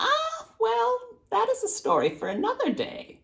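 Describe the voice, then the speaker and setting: It's a put-on character voice, squeaky yet gravelly. The pace is moderate. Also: man, extremely high pitch for a man. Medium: read story.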